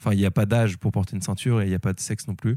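Recorded very cleanly against a silent background with a dry, close sound and no echo, a man speaks very fast at a fairly low pitch in a dark, mellow tone with ordinary pitch variation. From northern France, Lille. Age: 20s. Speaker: entrepreneur. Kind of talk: casual interview. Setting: flatshare in Lille. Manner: hesitant, many fillers.

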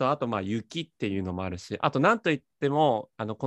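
The pitch swings very widely, recorded with a dry, close sound that has no echo. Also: man. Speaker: podcast host. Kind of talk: casual chat. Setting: video call.

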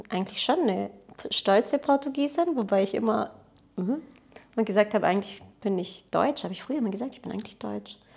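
The delivery is very fast with lively intonation and big swings in loudness, broken by long, frequent pauses. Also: woman, fairly high pitch for a woman. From Baden-Württemberg (Blaubeuren near Ulm), born in Portugal. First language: Portuguese (speaking German). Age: 30s. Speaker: photographer and entrepreneur. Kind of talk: casual interview conversation.

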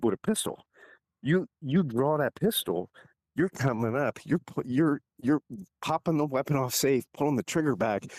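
With lively intonation, a man talks at a moderate pace. The sound is dry and close with no echo, in a very clean recording with a silent background. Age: 50s. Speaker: real estate agent and retired Marine. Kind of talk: casual chat.

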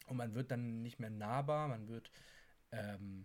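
Very slow male speech with ordinary pitch variation. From Hamburg, northern Germany. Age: 20s. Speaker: dancer and presenter. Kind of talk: casual chat.

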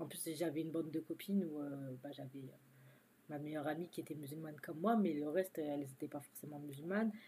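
A woman speaks at a very deep, low pitch with ordinary pitch variation. Her tone is dark and mellow, her pace moderate. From France. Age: 20s. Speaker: stay-at-home mother, store manager. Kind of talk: interview testimony.

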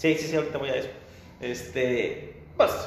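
The speech moves at a moderate pace with fairly even intonation, accompanied by noticeable background noise and audible room echo. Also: man. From Mexico. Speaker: architect. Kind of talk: interview. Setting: video call.

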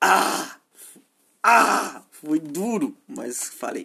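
A man in a Brazilian accent, bright and sharp in tone, with very wide pitch swings. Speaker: podcaster. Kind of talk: solo monologue. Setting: home, at his PC while gaming. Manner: halting.

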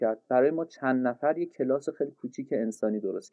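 Fairly quickly, this man talks in a normal speaking voice. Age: 30s. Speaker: literature lecturer and podcaster. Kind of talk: casual interview.

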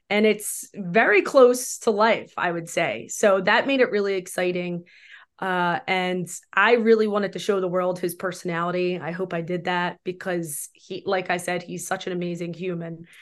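A woman's unremarkable speaking voice at medium pitch and a moderate pace, with ordinary pitch variation over a quiet background. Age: 40s. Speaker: film director. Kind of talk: casual chat.

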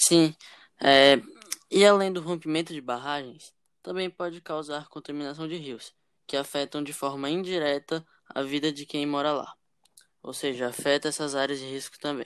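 Long, frequent pauses at a moderate pace in a very clean recording with a silent background. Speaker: podcast host. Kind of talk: casual chat.

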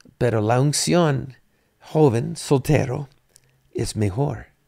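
Lively in intonation, a man at medium pitch talks at a very slow pace. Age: 60s. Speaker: pastor. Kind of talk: bible study.

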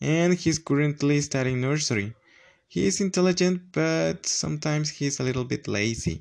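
A man with a Spanish accent speaks at a moderate pace in a fairly high pitch, with lively intonation. The background is quiet. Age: 20s. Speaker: language student. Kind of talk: student presentation.

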